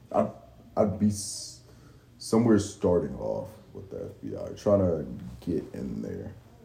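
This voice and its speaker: A man with a very deep, low pitch talks at a very slow pace, using a dark, mellow tone with vocal fry. His pitch swings very widely, and he takes long, frequent pauses. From Baltimore. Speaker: Marine Corps veteran and aspiring podcaster. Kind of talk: casual chat. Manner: calm.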